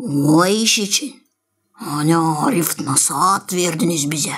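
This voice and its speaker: A raspy, put-on character voice at a middle pitch and very slow pace. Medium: fan dub.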